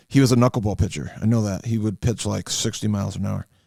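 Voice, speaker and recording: Speaking at a very fast pace with a Western New York accent, a man uses a fairly low pitch, a dark, mellow tone and fairly even intonation. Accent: Western New York (Inland North) American. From Western New York, US. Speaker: trading card hobbyist. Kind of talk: casual card-opening monologue. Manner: hesitant, many fillers.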